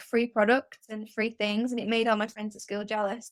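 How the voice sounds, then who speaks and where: A woman is speaking. She has a Mancunian accent. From northern England, Manchester. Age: 20s. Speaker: freelance writer. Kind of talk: casual interview.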